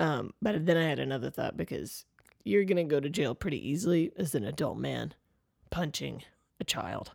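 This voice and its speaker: A woman talks in a playful tone with vocal fry at a very deep, low pitch. Her pitch swings very widely while her pace stays moderate. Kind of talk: casual comedic banter, advice show. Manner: joking, playful.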